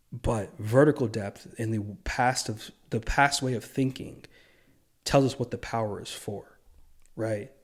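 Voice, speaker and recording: Somewhat breathy delivery at a fairly slow pace with fairly even intonation. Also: man. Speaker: video essayist. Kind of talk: monologue commentary. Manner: stumbling over words; partly reading from notes.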